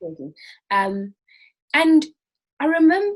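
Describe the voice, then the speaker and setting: A woman's voice swings very widely in pitch. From South Africa. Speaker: acting student. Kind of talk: group interview. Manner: halting, many fillers and repetitions.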